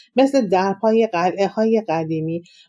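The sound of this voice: The clip carries an unforced reading voice. Its pitch variation is ordinary.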